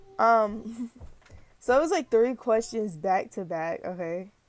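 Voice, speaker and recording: The voice is quiet and moves at a moderate pace. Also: woman. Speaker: YouTube reaction vlogger. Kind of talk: casual vlog commentary. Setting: bedroom at home.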